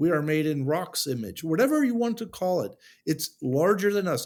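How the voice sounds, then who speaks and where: A man with an American accent speaks with very wide pitch swings. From USA. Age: 60s. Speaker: sculptor. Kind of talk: interview conversation. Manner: halting, many restarts.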